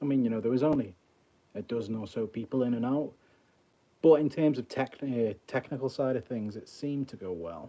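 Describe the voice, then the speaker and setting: Dark, mellow tone from a male speaker, ordinary pitch variation throughout. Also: medium pitch for a man. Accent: Liverpool. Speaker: mentalist streamer. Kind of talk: casual live stream chat. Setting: mobile livestream. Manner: halting.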